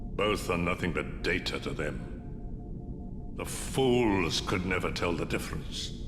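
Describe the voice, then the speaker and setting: A man uses a put-on character voice with a very deep, low pitch. He speaks at a fairly slow pace over loud background noise. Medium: video game. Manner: terse, cold.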